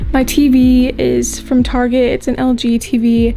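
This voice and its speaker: A woman talks with a Midwestern American accent. Music plays in the background. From Iowa. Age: 20s. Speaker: college student vlogger. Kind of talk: casual vlog tour. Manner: casual.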